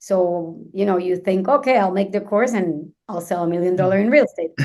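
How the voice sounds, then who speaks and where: With a Venezuelan accent, a woman speaks at a fairly quick pace and medium pitch. Her tone is dark and mellow, with ordinary pitch variation. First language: Spanish. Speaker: luxury real estate agent. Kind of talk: podcast interview. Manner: halting, frequent fillers.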